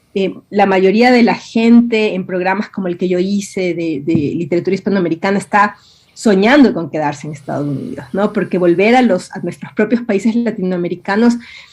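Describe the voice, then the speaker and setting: A woman with an Ecuadorian highland accent speaks at a fairly quick pace, her medium pitch moving with ordinary variation. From Ecuador, Quito (born Guayaquil). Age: 50s. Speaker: writer and university professor. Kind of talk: interview. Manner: hesitant, many fillers.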